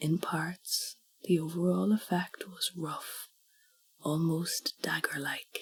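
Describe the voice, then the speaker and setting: A soft-spoken woman with an Irish accent, at a very slow pace. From Ireland. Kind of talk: sleep story.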